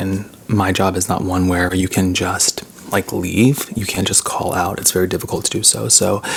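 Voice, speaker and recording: A man speaks with a very deep, low pitch and fairly even intonation. Noticeable background noise runs under his voice. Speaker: ASMR mukbang YouTuber. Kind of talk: casual talk to camera. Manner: slow, subdued, sincere.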